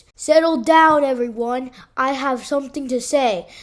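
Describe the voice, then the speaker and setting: A woman performs in a put-on character voice, pitched high. She speaks neither fast nor slow. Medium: read story. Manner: screechy when frightened.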